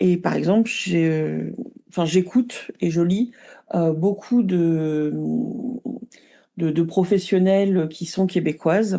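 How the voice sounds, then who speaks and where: A woman's medium-pitched voice, dark and mellow, with ordinary pitch variation and long, frequent pauses. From Lyon, France. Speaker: podcast host. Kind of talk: interview.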